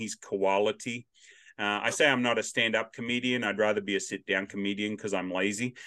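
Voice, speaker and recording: The speaker has an Australian accent and a bright, sharp tone at a fairly quick pace. The sound is dry and close with no echo, over a quiet background. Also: man. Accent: Australian, noticeable. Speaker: podcast host. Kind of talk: casual interview chat. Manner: loud, animated.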